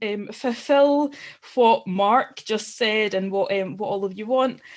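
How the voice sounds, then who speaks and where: A woman speaks fairly slowly in a Glasgow accent. Her pitch is medium, with ordinary variation. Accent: Scottish (Glasgow area). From Scotland, Glasgow area. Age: 30s. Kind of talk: personal testimony at online forum. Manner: halting, many fillers.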